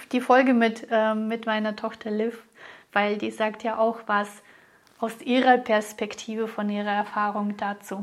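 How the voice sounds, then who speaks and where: Someone speaks at a moderate pace in a plain, everyday voice. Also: woman. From Russia. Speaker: business coach and podcast host. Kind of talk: solo podcast monologue.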